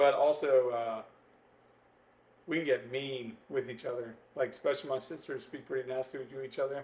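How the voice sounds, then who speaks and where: This man talks at a moderate pace with fairly even intonation. He leaves long, frequent pauses. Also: medium pitch for a man. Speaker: podcast co-host. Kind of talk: casual chat. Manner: loud.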